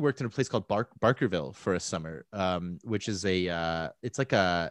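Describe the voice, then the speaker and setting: This is a man speaking with a Canadian accent. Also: dry, close sound with no echo. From Alberta, Calgary. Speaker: podcast host. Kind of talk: casual chat. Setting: home office.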